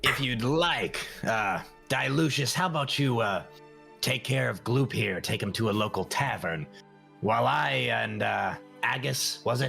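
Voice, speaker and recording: A put-on character voice at a moderate pace with clear music in the background. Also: man, medium pitch for a man. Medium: actual play. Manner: hesitant, dry, halting with pauses.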